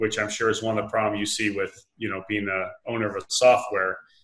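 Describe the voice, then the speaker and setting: Against a quiet background, a man talks at a moderate pace. He has an American accent. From United States. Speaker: dropshipper, online entrepreneur; interviewee. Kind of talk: interview. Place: home room. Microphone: video call.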